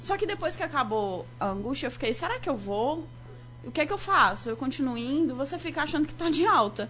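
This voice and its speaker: A woman talks with a high pitch at a fairly quick pace. Her intonation is lively, and background noise is noticeable. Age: 20s. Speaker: journalism student and graphic designer. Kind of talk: casual radio talk show conversation.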